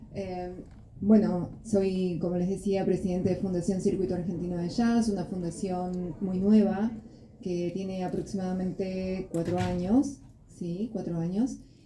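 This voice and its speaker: The recording has audible room echo as a woman talks at a medium pitch. Her intonation stays fairly even. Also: moderate pace. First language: Spanish. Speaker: jazz foundation president. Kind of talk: panel presentation.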